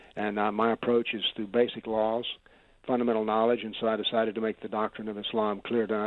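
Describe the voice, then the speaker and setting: The delivery moves at a very fast pace. Intonation stays monotone and flat. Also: man. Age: 70s. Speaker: author and former physics professor. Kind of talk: debate interview.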